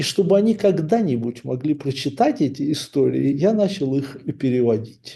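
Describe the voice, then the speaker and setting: Somewhat breathy and dark, mellow in tone, a man speaks at a fairly high pitch with lively intonation. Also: moderate pace. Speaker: author. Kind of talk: book introduction. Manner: formal.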